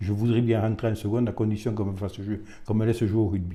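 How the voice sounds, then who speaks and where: A man's fairly low, dark, mellow voice, somewhat breathy, with monotone, flat intonation. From Bigorre, southwestern France. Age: 70s. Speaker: retired rugby official. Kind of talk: interview monologue. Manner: hesitant, many fillers.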